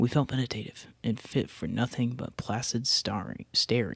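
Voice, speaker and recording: Someone whispers at a moderate pace. The recording is very clean with a silent background. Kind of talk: read story. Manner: whispered.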